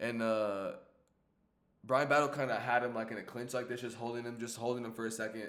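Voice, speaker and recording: There is audible room echo as a man talks at a fairly quick pace with a medium pitch and monotone, flat intonation. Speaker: YouTuber recapping fights. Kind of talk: casual commentary recap. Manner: casual, halting.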